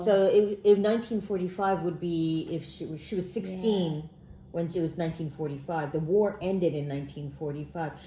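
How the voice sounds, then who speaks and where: A woman with a fairly low pitch and a dark, mellow, somewhat breathy tone speaks at a fairly slow pace with ordinary pitch variation. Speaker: interpreter. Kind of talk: casual interpreting in English and Japanese.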